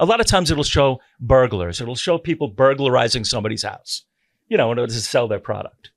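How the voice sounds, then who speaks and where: With an animated tone and lively intonation, a man of medium pitch speaks at a fairly quick pace. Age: 60s. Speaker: podcast host, retired sheriff's deputy. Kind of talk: casual chat.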